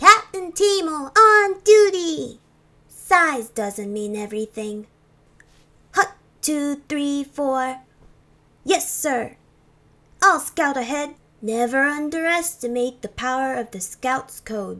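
Doing a put-on character voice, a woman speaks high with very wide pitch swings and big shifts in loudness. She goes at a fairly slow pace with long, frequent pauses. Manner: upbeat.

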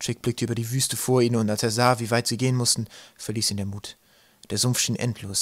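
Fairly even intonation carries through this natural reading voice.

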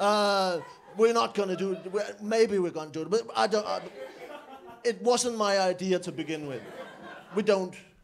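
A man's high-pitched voice at a moderate pace, with ordinary pitch variation, long, frequent pauses, and light background noise. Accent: Danish. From Denmark. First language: Danish. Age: 20s. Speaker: comedian. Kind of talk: stand-up. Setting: stage with audience. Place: cafe.

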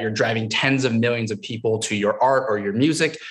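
In a quiet background, a man talks at a fairly quick pace. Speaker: guest. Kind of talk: panel discussion answer. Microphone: webcam.

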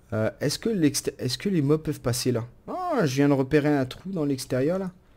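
A man's fairly high voice with a dark, mellow tone. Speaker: gaming YouTuber. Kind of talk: let's play commentary. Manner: animated.

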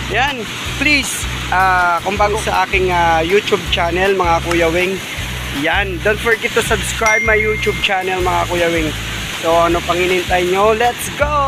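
A man's voice in a dry sound with no echo, with ordinary pitch variation and music in the background. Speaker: vlogger. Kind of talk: casual vlog chat. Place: waterside. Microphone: phone near.

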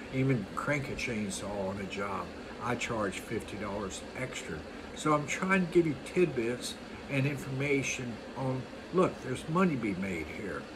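Over noticeable background noise, a man with a medium-pitched voice talks at a fairly slow pace, his pitch swinging very widely. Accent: American. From US East Coast. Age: 60s. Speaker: lawn care business owner. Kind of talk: monologue tutorial. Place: home room. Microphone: phone near.

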